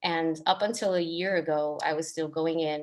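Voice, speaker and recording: Against a quiet background, a woman speaks in an ordinary speaking voice. Her pitch sits fairly low. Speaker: artist and arts educator. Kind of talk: panel discussion on video call.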